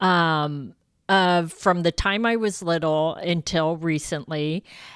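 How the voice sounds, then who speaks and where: On a very clean recording with a silent background, a woman with a Californian accent speaks very slowly in a fairly low pitch with ordinary pitch variation. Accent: General American (California). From San Francisco, California. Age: 60s. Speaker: life coach podcaster. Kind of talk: podcast monologue.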